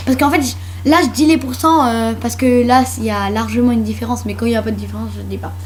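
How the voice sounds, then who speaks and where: An animated woman talks at a very fast pace. Audible room echo and noticeable background noise surround her voice. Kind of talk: casual chat.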